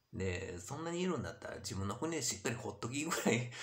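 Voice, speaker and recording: A man talks at a fairly quick pace. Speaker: YouTuber. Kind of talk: monologue vlog. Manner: rambling, many fillers. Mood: frustrated, complaining. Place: home room. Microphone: webcam.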